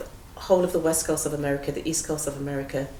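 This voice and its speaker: Someone with a northern English accent talks very fast amid audible room echo and noticeable background noise. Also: woman. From northern England, Leeds. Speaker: dancer and choreographer, head of a dance school. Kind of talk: interview conversation. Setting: stage with audience in a gallery.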